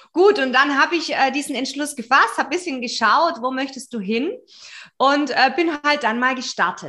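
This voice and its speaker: At a moderate pace, a woman uses a raised, projected voice with a bright, sharp tone, high pitch and lively intonation, in a very clean recording with a silent background. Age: 40s. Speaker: business mentor. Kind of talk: interview.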